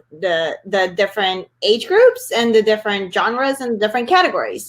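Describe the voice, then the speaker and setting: A woman speaks with a Spanish accent in a fairly high voice, her pitch swinging very widely. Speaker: author and webinar host. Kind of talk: live webinar Q&A. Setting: live online webinar.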